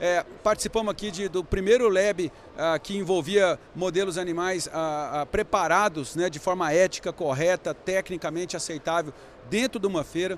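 This man has a high-pitched voice. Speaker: veterinary intensive care specialist. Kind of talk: interview at a trade fair studio. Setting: studio at a veterinary convention.

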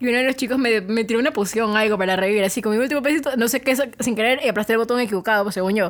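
Talking at a very fast pace, a woman with a fairly high pitch is heard over noticeable background noise. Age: 20s. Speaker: podcast co-host. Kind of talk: casual chat.

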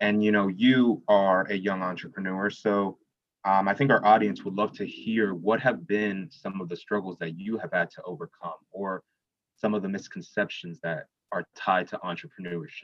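The man has an ordinary speaking voice with a fairly low pitch. He moves at a moderate pace with ordinary pitch variation. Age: young. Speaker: student podcast co-host. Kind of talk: interview.

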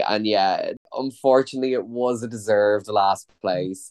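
A man speaks with an Irish accent. His intonation stays fairly even. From Ireland. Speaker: podcast host. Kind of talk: casual chat.

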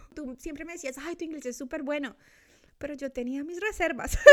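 The voice is raised and projected, with a bright, sharp tone, ordinary pitch variation and a moderate pace. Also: woman. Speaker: podcast co-host. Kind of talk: casual chat. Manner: animated.

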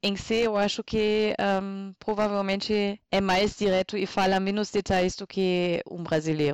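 In a German accent, a woman speaks fairly slowly at a medium pitch with hardly any pauses and fairly even intonation, the sound dry and close with no echo. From northern Germany, Münsterland. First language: German (speaking Portuguese). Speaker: podcast guest. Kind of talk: casual chat. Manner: halting.

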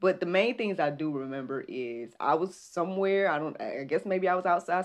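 Pausing hardly at all, a woman talks in an animated tone at a fairly low pitch with ordinary pitch variation, over a quiet background. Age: 30s. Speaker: faith podcast host. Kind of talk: casual devotional monologue. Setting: live stream.

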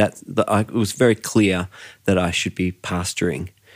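Someone with an Australian accent speaks at a moderate pace with fairly even intonation, on a very clean recording with a silent background. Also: man. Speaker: worship and creative team pastor, podcast host. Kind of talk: interview conversation.

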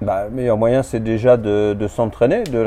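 This is a plain, everyday voice, with fairly even intonation and a moderate pace. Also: man. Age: 50s. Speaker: amateur tennis player. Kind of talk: casual interview. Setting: in person.

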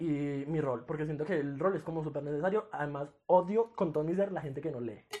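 A man races along at a very fast pace, his fairly high pitch showing ordinary pitch variation. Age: 20s. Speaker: podcast co-host, medical student. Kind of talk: casual chat.

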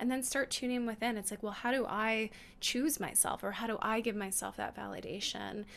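Using an unremarkable speaking voice, a woman talks at a fairly quick pace, her pitch fairly high and her intonation fairly even. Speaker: podcast co-host, intuitive channel. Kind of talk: casual chat.

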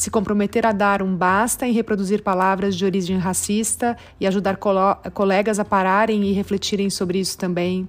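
A woman's medium-pitched voice at a moderate pace, monotone and flat, with hardly any pauses, on a very clean recording with a silent background. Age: 40s. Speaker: business executive. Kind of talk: recorded testimony.

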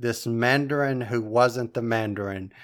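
A man speaks in a normal speaking voice at a medium pitch. The recording is very clean, with a silent background. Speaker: podcast host. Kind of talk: casual chat.

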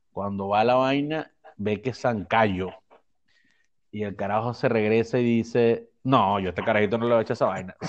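At a fairly quick pace, a man speaks in a normal speaking voice at medium pitch with fairly even intonation. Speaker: podcast co-host. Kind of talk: casual chat.

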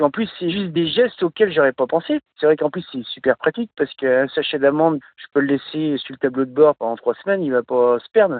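A man's fairly high voice, fairly quick and with hardly any pauses, lively in intonation and with big swings in loudness. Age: 40s. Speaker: truck driver. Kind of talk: casual chat. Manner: halting.

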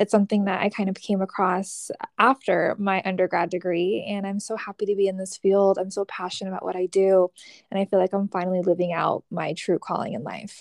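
A woman with a Californian accent speaks fairly quickly in a flat monotone, the sound dry and close with no echo. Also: medium pitch for a woman. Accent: General American (Californian). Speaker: mental health counselor. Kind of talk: casual interview.

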